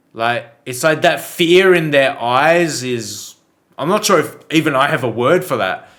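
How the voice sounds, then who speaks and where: Lively intonation marks this man's fairly high-pitched voice as he speaks at a fairly slow pace. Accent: Australian. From Australia. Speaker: reaction video creator. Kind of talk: casual reaction commentary. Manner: hesitant, many fillers.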